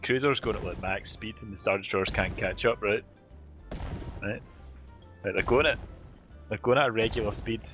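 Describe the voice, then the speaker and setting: Over clear music in the background, a man with a Scottish accent speaks at a moderate pace with ordinary pitch variation and a dry sound with no echo. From Glasgow, Scotland. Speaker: gaming streamer. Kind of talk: casual gaming chat with friends. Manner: ranting. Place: home room. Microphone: studio mic.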